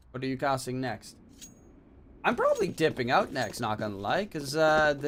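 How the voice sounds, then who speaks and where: A man's voice over noticeable background noise. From Netherlands. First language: Dutch. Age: 20s. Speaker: esports caster and streamer. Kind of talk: casual chat with stream viewers; live commentary. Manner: animated.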